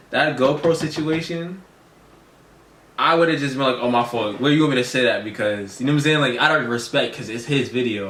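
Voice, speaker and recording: A man at a very fast pace amid audible room echo. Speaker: youtuber reacting to video. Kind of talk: casual chat.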